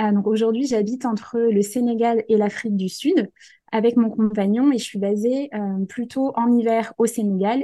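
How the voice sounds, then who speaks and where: A woman speaks fairly slowly in a dark, mellow tone, her fairly high pitch carried with fairly even intonation. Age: 20s. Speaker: life coach and entrepreneur. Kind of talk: casual chat.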